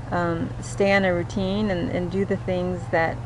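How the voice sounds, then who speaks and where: A woman speaks at a moderate pace, with audible room echo and noticeable background noise both present. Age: 50s. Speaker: cancer patient vlogger. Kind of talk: personal video diary. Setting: outdoors in backyard. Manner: halting, many fillers.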